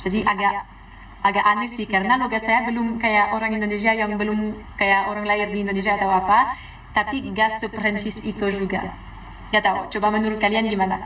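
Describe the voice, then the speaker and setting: A woman talks very fast in a fairly high pitch with monotone, flat intonation amid noticeable background noise. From France. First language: French (speaking Indonesian). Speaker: foreign resident in Indonesia. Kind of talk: casual social video talk.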